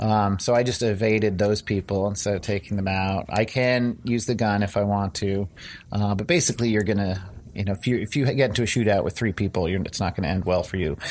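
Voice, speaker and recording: An unremarkable speaking voice from a man, fairly low in pitch, at a fairly quick pace with ordinary pitch variation. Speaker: game developer. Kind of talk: game demo interview.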